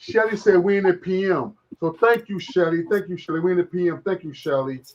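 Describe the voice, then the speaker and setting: A high-pitched man with lively intonation at a fairly quick pace. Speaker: live streamer. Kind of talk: casual live stream chat. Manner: animated.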